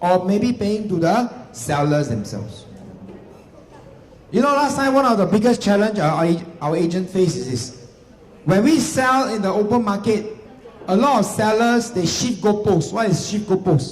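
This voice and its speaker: An animated, high-pitched male voice with lively intonation and long, frequent pauses, amid noticeable background noise and audible room echo. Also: moderate pace. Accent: Singaporean. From Singapore. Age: 40s. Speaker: real estate agency executive. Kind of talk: seminar talk.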